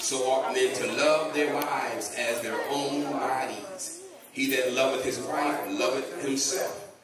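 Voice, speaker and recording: At a very slow pace and with ordinary pitch variation, the speech sits in audible room echo under loud background noise. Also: man. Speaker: guest pastor. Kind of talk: sermon scripture reading. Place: church.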